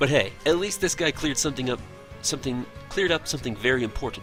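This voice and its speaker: A man at medium pitch with lively intonation, music playing in the background. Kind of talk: read story. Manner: halting, unpolished reading.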